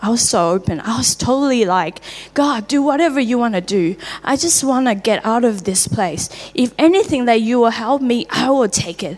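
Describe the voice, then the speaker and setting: With a Taiwanese accent and lively intonation, the speaker goes at a moderate pace amid noticeable background noise. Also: woman, fairly high pitch for a woman. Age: 30s. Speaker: church member sharing testimony. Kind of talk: testimony. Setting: church.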